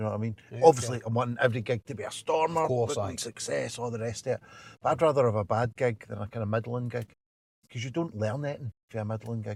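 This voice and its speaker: Very fast and somewhat breathy, a man talks at a medium pitch with ordinary pitch variation. The sound is dry and close with no echo, on a very clean recording with a silent background. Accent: Glasgow. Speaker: stand-up comedian. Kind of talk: interview answer. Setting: in a parked car.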